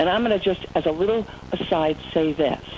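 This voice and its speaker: Noticeable background noise sits behind a woman with a fairly low pitch. Her tone is animated and her intonation lively. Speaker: motivational speaker. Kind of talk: webinar presentation. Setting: online webinar.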